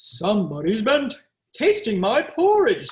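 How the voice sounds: At a moderate pace, the speaker performs a put-on character voice. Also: man, extremely high pitch for a man.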